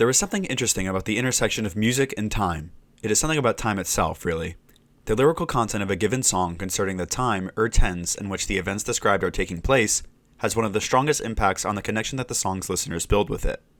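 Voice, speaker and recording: A man mumbles at a very fast pace. His pitch is fairly low. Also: ordinary pitch variation, very clean recording, silent background. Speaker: musician, video essayist. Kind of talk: video essay narration, read from script. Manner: mumbled in places.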